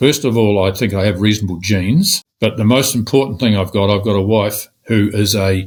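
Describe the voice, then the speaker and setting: A New Zealand accent on a very clean recording with a silent background. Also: man. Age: 70s. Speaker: real estate agent. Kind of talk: interview.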